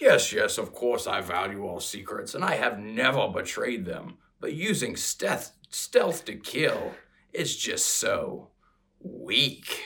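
Using a put-on character voice, a man talks at a fairly slow pace. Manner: defiant, dismissive.

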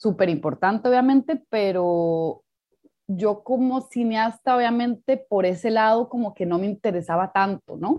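A woman with a normal speaking voice talks at a fairly slow pace. Her pitch is fairly high, with ordinary variation. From Costa Rica. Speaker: documentary filmmaker and anthropologist. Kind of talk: interview conversation.

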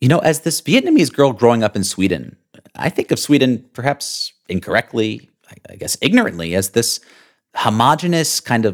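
A man's voice with vocal fry swings very widely in pitch, heard as dry, close sound with no echo. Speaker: podcast host. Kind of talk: scripted intro then casual interview.

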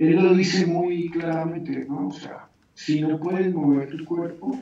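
A man with a plain, everyday voice speaks at a fairly high pitch. His pace is fairly slow, with ordinary pitch variation. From Colombia. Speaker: aikido teacher. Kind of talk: interview.

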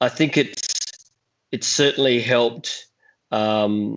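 A man with an Australian accent speaks at medium pitch. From Adelaide, South Australia. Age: 40s. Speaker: actor and children's author. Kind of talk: interview. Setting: remote call.

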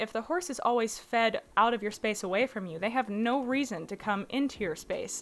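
Music plays behind a woman with a fairly high pitch. She talks at a moderate pace with ordinary pitch variation and hardly any pauses. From US South, Little Rock, Arkansas. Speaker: horse trainer. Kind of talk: interview, casual explanation. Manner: animated.

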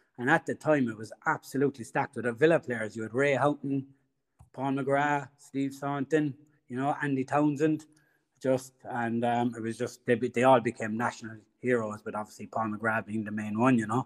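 A man with a Cork accent speaks at a moderate pace and medium pitch, his intonation fairly even. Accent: Irish (Cork). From Ireland. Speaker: football fan. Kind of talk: casual interview. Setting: remote call.

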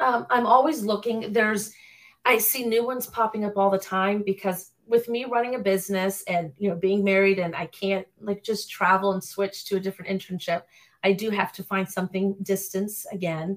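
This is a woman with an ordinary speaking voice and a medium pitch. She talks at a moderate pace with ordinary pitch variation. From Florida (Orlando area). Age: 40s. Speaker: personal trainer and nutrition student. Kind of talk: casual interview.

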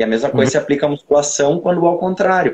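This man's voice sits at a fairly high pitch and carries vocal fry. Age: 20s. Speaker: personal trainer and bodybuilder. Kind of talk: casual chat.

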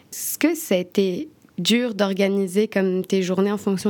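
Ordinary pitch variation shapes a plain, everyday voice that proceeds fairly slowly. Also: woman. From France. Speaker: podcast host. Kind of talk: interview.

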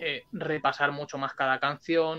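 Here a man speaks with a bright, sharp tone. His intonation is monotone and flat. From Spain (Alicante). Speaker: punk rock musician. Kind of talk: interview. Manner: talkative.

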